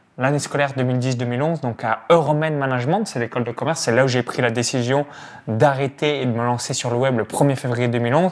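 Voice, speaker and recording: Talking very fast with a Burgundy accent, a man keeps a medium pitch and fairly even intonation. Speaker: online business coach, channel host. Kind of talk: casual interview. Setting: in person in Tallinn.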